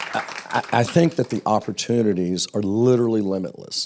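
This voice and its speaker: In an American accent, the speaker goes at a moderate pace with ordinary pitch variation. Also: man. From US South. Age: 60s. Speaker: television executive. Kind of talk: panel interview.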